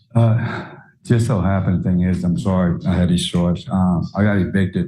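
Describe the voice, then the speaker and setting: A man speaks at a moderate pace. His very deep, low voice has ordinary pitch variation. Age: 60s. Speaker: defendant. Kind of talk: courtroom testimony. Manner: halting, hesitant.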